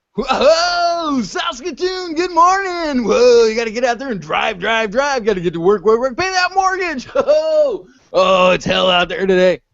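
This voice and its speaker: In a put-on character voice, a man shouts loudly at an extremely high pitch with very wide pitch swings and hardly any pauses. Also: moderate pace. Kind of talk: scream jock radio. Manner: loud, energetic, screaming.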